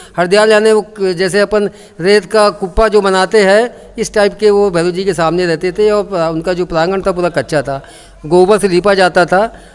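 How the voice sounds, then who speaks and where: A man with a high pitch and fairly even intonation speaks at a moderate pace over noticeable background noise. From India, local neighbourhood of the temple. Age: 60s. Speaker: temple committee president. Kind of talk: interview, oral history. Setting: at a temple.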